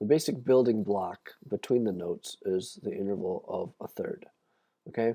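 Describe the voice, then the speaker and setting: At a moderate pace, a man with a medium pitch and a dark, mellow tone speaks with very wide pitch swings. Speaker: music teacher. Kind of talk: online lesson. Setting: livestream. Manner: casual, filler-heavy.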